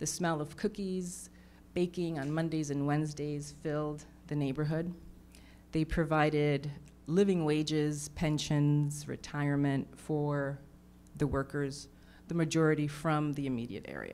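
Over light background noise, a woman with a very deep, low voice and a dark, mellow tone speaks at a fairly slow pace in a monotone, flat intonation. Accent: New York. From New York. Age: 50s. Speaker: artist; panelist. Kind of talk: panel discussion. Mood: earnest, reflective. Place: hall. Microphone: handheld.

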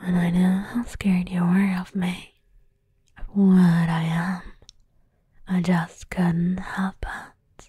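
Whispering, soft-spoken delivery at a very slow pace, with long, frequent pauses, a quiet background and a dry sound with no echo. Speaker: voice actor playing a character. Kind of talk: intimate roleplay monologue to the listener. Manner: soft whispered, teasingly affectionate confession.

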